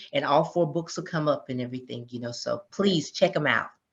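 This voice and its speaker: A woman talks in a Southern US accent. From Georgia, US South. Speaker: author. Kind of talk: interview.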